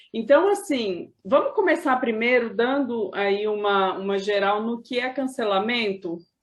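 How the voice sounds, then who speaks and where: A plain, everyday voice moves at a fairly slow pace with hardly any pauses and ordinary pitch variation. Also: woman, fairly high pitch for a woman. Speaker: video host / interviewer. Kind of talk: interview conversation.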